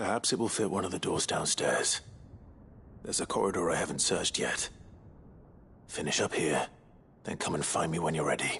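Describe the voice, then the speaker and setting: A man's put-on character voice with a calm tone, a fairly quick pace, long, frequent pauses and clear background noise. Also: fairly low pitch for a man. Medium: video game. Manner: calm, measured.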